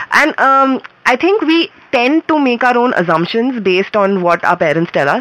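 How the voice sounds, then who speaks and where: Over noticeable background noise, a woman speaks at a moderate pace with a high pitch. Her loudness stays very even. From India, Mumbai. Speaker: filmmaker. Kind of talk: interview. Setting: radio studio.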